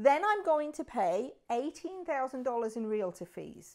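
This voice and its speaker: In a British accent, a woman speaks at a moderate pace with very wide pitch swings. The recording is very clean, with a silent background. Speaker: realtor. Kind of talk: explainer video. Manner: conversational.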